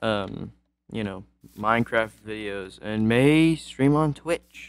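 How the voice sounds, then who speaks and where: The recording is very clean, its background silent. In it, a man talks at a very slow pace. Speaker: gaming YouTuber. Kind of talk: casual chat. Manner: halting.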